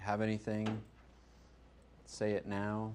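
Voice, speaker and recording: The speaker is a man with a fairly low pitch. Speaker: user group meetup host. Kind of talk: closing remarks to meetup audience. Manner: loud.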